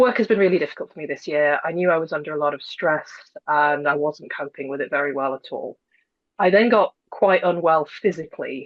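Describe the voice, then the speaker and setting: A woman with a British accent, her pitch fairly low, at a moderate pace with ordinary pitch variation. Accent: British, non-American. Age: 30s. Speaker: former insomnia client. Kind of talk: interview testimony.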